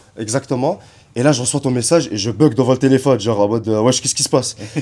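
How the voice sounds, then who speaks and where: Delivering his words at a very fast pace, a man speaks with a dark, mellow tone at medium pitch and ordinary pitch variation. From Kuwait. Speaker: YouTube interviewer. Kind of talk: casual chat. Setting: garage.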